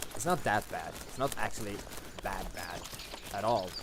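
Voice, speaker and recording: A fairly low-pitched man is heard with audible echo from the room and noticeable noise in the background. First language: not English. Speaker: gaming commentator. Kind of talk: gameplay commentary. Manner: casual, conversational.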